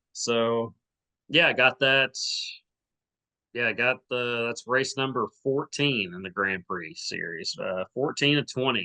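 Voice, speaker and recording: With an Arkansas accent, a man talks at a fairly slow pace and medium pitch in a bright, sharp tone, the sound dry and close with no echo against a quiet background. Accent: Southern US (Arkansas). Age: 30s. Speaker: podcast host, amateur runner. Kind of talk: casual chat.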